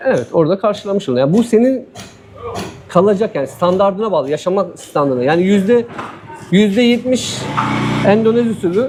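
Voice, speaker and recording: Pausing long and often, a man with a high pitch and lively intonation speaks over noticeable background noise. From Turkey, Diyarbakır. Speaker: former footballer living abroad. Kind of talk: casual interview.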